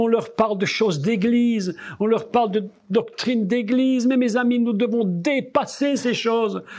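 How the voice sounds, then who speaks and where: A man at an extremely high pitch, with a slight Belgian accent and a fairly slow pace. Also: ordinary pitch variation. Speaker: preacher. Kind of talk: sermon. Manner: animated.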